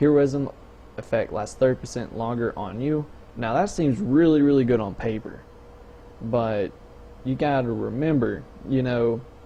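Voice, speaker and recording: Noticeable background noise sits under a man speaking at a moderate pace and medium pitch. His pitch varies in an ordinary way, with long, frequent pauses. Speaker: gaming YouTuber. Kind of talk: casual game news commentary. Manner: casual, hesitant with fillers.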